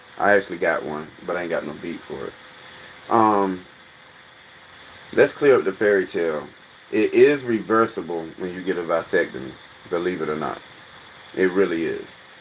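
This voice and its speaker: Over noticeable background noise, a man with a very deep, low pitch and ordinary pitch variation speaks at a moderate pace, with big swings in loudness and long, frequent pauses. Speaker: livestream host, comedic commentator. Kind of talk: casual livestream chat. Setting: live stream.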